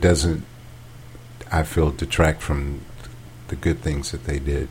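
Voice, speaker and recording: A man speaks with an American accent. His pace is very slow. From US South. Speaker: podcast co-host. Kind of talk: casual chat. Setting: home dining room.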